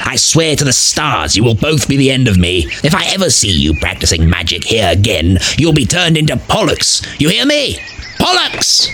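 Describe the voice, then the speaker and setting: A man at a medium pitch and moderate pace, with clear background noise. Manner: exasperated, threatening.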